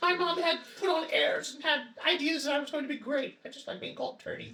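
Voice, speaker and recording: This put-on character voice rattles along at a very fast pace with a high pitch. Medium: actual play. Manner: eager, excitable.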